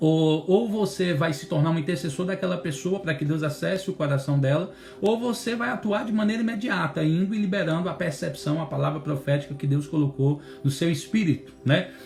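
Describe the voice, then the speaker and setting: With noticeable background noise behind him, a man talks at a fairly quick pace with lively intonation. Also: fairly high pitch for a man. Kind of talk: bible teaching. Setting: instagram live stream.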